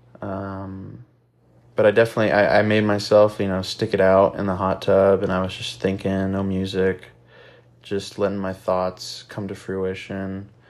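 The recording is very clean with a silent background, and the voice moves at a moderate pace in a monotone, flat intonation. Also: man, fairly low pitch for a man. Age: 20s. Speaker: podcast host. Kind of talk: casual monologue. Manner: casual, filler-heavy.

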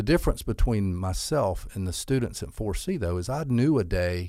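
In a Southern US accent, a man speaks at a moderate pace with a dark, mellow tone on a very clean recording with a silent background. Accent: Southern US (Georgia). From US South, Albany, Georgia. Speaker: school CEO. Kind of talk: interview.

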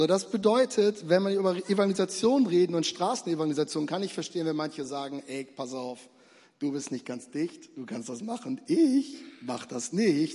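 At a moderate pace, a dark, mellow tone carries very wide pitch swings and big swings in loudness. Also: man, high pitch for a man. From Bremen, northern Germany. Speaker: preacher, church planting pastor. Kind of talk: evangelistic sermon, preacher in full flow. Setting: stage in church with audience. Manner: animated, fervent, urgent; direct, rhetorical questions, conversational.

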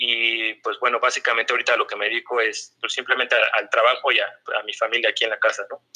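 A man with a Mexico City accent talks very fast with hardly any pauses. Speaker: sales negotiator in energy sector. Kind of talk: interview. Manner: halting.

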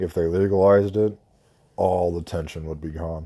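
A man with a very deep, low pitch and a dark, mellow tone speaks at a moderate pace with fairly even intonation. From US Mexico border. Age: 30s. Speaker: podcast host. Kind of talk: casual monologue. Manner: rambling, hesitant.

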